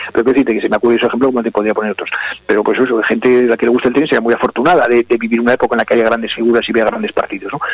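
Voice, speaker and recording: Over noticeable background noise, a man talks at a very fast pace and a medium pitch in a monotone, flat intonation. The sound is dry and close, with no echo. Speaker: cultural commentator. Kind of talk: casual chat.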